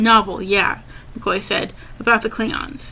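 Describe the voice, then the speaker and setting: There is noticeable background noise as a woman speaks with a fairly high pitch. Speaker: amateur audiobook narrator. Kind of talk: audiobook reading. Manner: stuttering, occasional disfluent restarts.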